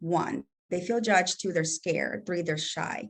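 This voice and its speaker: A woman with a Spanish accent at medium pitch, lively intonation, and a quiet background. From El Salvador. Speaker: entrepreneur. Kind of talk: casual chat.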